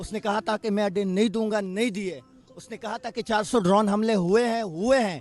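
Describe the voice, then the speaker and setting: Music plays behind a man speaking at a moderate pace. His voice is high, and his intonation stays fairly even. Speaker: political supporter. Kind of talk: street interview. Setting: outdoors at beach rally.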